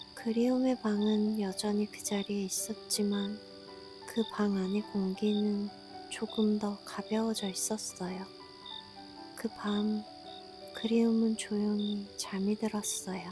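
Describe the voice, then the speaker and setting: With music in the background, a woman speaks very slowly in a soothing tone at a medium pitch, using monotone, flat intonation and long, frequent pauses. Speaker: sleep story narrator. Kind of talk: sleep story. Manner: soft, slow, soothing.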